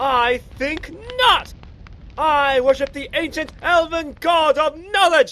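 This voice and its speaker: A put-on character voice with a pompous tone, pitched high and delivered at a fairly slow pace. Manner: pompous, shouting.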